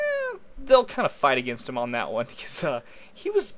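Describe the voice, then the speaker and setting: The speaker is a man, talking at a moderate pace. Behind him there is noticeable background noise. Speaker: radio show co-host, MMA fight analyst. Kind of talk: casual sports preview chat. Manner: halting, many fillers.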